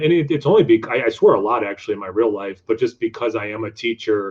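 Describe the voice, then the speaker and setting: With an American accent, a man races along at a very fast pace, his medium pitch showing ordinary variation. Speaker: beer reviewer YouTuber and teacher. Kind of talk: casual interview chat.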